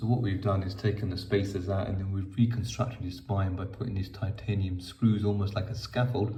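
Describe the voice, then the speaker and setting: A man speaks fairly quickly with hardly any pauses, in a monotone, flat way. His fairly low voice is somewhat breathy, with a dark, mellow tone. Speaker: spinal surgeon. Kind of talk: patient case explanation.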